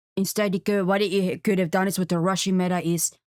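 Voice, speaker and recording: A woman at a fairly quick pace in a flat monotone, with a dry, close sound and no echo. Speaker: gaming YouTuber. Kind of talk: casual commentary on game patch. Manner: halting, many restarts.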